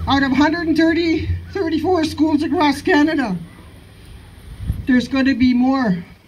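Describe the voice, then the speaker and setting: Lively intonation at a moderate pace, very even loudness, long and frequent pauses, and noticeable background noise. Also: woman, high pitch for a woman. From Listuguj, Quebec, Canada. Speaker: Mi'gmaq Elder, residential school survivor. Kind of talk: personal testimony at a public gathering.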